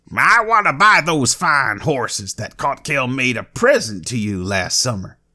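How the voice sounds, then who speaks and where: A man's put-on character voice at a medium pitch, with very wide pitch swings, a moderate pace and hardly any pauses. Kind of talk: archaic, formal.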